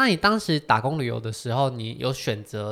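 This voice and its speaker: Recorded very cleanly against a silent background, a man talks at a moderate pace in an ordinary speaking voice of medium pitch. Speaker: podcast host. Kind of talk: casual interview chat.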